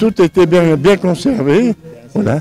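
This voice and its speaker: Dark, mellow male tone, dry and close with no echo. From Savoie, France (Tarentaise). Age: 90s. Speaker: retired cheesemaker. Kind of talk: interview at a fair. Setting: outdoors at an agricultural fair. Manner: halting, repeats words.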